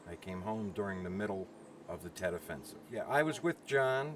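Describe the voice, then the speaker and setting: A man's fairly low-pitched voice comes through noticeable background noise. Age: 70s. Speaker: Vietnam veteran. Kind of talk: interview. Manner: halting.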